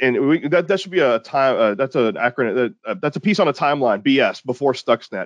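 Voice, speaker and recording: Someone speaks at a fairly quick pace with an American accent in a normal speaking voice. The sound is dry and close with no echo, over a quiet background. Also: man, fairly high pitch for a man, lively intonation, hardly any pauses. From Texas, small town near Houston. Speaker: security company founder and researcher. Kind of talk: interview.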